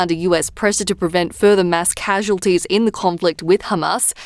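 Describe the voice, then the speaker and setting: Speaking with an Australian accent, a woman uses a medium pitch and ordinary pitch variation, and the sound is dry and close with no echo. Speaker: news presenter. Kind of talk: radio news bulletin reading. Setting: studio. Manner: measured, even-paced newsreader delivery; formal, neutral tone through grave war casualty figures.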